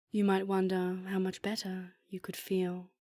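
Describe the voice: What we hear is plain reading aloud.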